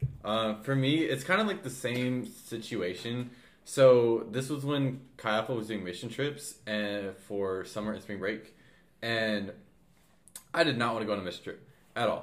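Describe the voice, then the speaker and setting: At a medium pitch, a man speaks at a moderate pace with ordinary pitch variation. Long, frequent pauses break up his speech. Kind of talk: casual chat.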